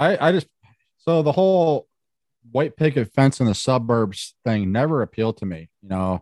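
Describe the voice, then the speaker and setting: At a moderate pace, the voice makes very wide pitch swings, recorded with dry, close sound and no echo against a quiet background. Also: man, medium pitch for a man. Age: 40s. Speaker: hiker and YouTuber. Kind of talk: interview.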